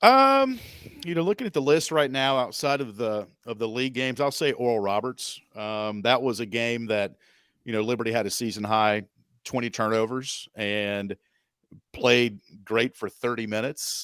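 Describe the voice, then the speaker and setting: The man speaks at a moderate pace in an unremarkable speaking voice. His pitch sits in the medium range. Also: ordinary pitch variation, dry, close sound with no echo, very clean recording, silent background. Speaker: radio play-by-play sports announcer, podcast guest. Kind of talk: podcast interview answer about basketball.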